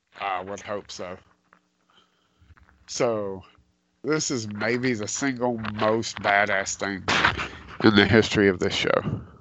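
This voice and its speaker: A man with a fairly low pitch speaks at a very slow pace, with long, frequent pauses and big swings in loudness. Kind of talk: casual chat. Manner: animated.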